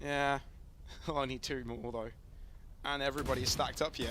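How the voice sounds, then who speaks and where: A man speaks in an animated tone. There is noticeable background noise behind him. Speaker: esports caster. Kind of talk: live commentary. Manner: fast.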